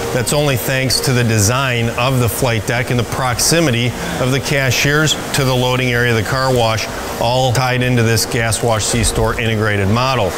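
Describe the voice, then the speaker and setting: A man's voice holds very even loudness against noticeable background noise. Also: moderate pace. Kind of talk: promotional facility tour. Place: shop.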